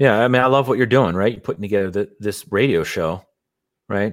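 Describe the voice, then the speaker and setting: A man with an American accent speaks in a plain, everyday voice, his fairly low pitch moving with ordinary variation. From Philadelphia, US. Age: 30s. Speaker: real estate investor. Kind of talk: interview conversation. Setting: home studio, remote.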